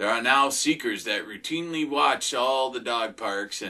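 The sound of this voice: Reading aloud in an unforced voice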